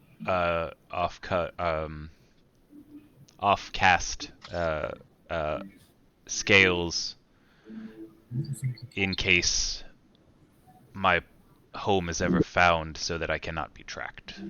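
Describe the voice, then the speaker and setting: Putting on a character voice, a man speaks with a very deep, low pitch. His pace is very slow, with long, frequent pauses. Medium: actual play. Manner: formal, measured.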